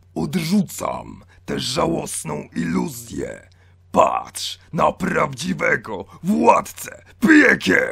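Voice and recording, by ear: Using a raspy, put-on character voice, a man speaks at a very slow pace.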